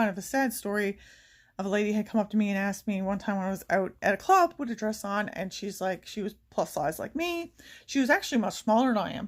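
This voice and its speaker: A woman's fairly quick speech is captured in a very clean recording where the background is silent. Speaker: beauty vlogger. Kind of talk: casual chat. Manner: fast.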